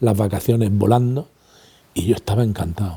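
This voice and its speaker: The man's tone is dark and mellow. There's a somewhat breathy quality to his voice. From Spain, Granada (Andalusia). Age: 60s. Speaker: retired language institute director and teacher. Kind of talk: interview testimony.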